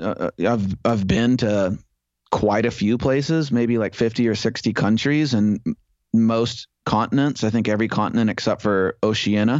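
A man with an American accent and a medium pitch talks at a moderate pace, his intonation fairly even and his loudness very even. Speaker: travel blogger living in Mexico. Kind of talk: casual interview chat. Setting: remote call. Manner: halting, repeating words.

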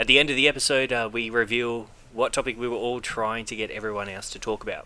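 With an Australian accent, a man speaks at a fairly quick pace and a medium pitch. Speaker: podcast host. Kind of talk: casual chat.

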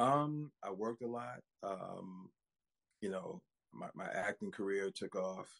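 With long, frequent pauses, a man speaks at a fairly slow pace and a medium pitch, his intonation lively. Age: 50s. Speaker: actor and former minister. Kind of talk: casual interview chat. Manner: hesitant, many fillers.

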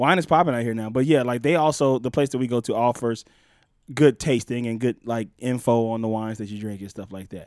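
A man with a plain, everyday voice speaks fairly quickly at a medium pitch with ordinary pitch variation. His loudness swings widely on a very clean recording with a silent background. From Los Angeles, born in Mississippi. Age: 30s. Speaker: TV writer. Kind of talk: casual chat.

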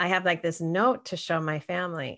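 At a moderate pace over a quiet background, a woman with a fairly low pitch uses a plain, everyday voice. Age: 50s. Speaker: author and health coach. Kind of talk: interview.

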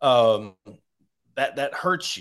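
A fairly slow pace in a Southern US accent, over a quiet background. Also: man. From Arkansas. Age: 40s. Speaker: sports podcaster. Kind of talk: casual sports interview.

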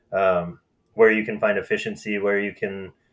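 In an Upper Midwest accent, a man talks at a moderate pace. His pitch is fairly low. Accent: Upper Midwest American. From Minnesota (Marshall, southwest). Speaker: marketing agency president. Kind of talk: casual interview.

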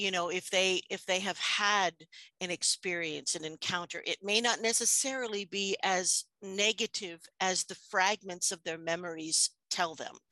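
In a bright, sharp tone, a woman with an American accent speaks with fairly even intonation. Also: medium pitch for a woman, moderate pace, dry, close sound with no echo. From US, New York City. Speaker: hypnotherapist. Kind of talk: interview.

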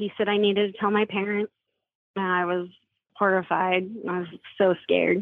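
A woman with an American accent at a medium pitch and moderate pace, monotone and flat in intonation, with long, frequent pauses. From Washington State. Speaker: abuse survivor. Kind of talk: testimony.

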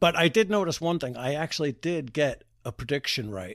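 In a very clean recording with a silent background and a dry, close sound with no echo, the speech runs at a fairly quick pace with very wide pitch swings. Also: man, fairly high pitch for a man. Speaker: podcast host. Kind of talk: informal, profane. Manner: casual, conversational.

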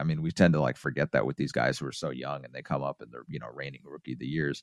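A man talks at a very fast pace with vocal fry and very wide pitch swings, the sound dry and close with no echo against a quiet background. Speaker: baseball beat writer. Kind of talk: casual interview.

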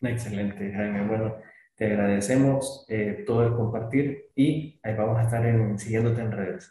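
A man's medium-pitched, dark and mellow voice, somewhat breathy, at a moderate pace with fairly even intonation. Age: 40s. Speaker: podcast host. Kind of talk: interview.

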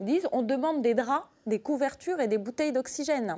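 A woman's high voice with very wide pitch swings over noticeable background noise. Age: 30s. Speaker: doctor. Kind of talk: televised debate. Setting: TV studio.

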